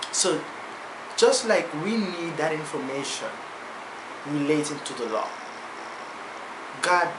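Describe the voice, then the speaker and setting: Long, frequent pauses at a fairly slow pace, against noticeable background noise. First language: non-native English speaker. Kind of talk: casual talk to camera.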